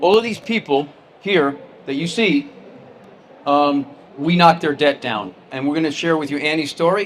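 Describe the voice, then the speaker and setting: Fairly quick speech from a man with an American accent, against noticeable background noise. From New Jersey. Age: 60s. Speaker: tax firm CEO, keynote speaker. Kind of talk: keynote presentation. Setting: stage with audience.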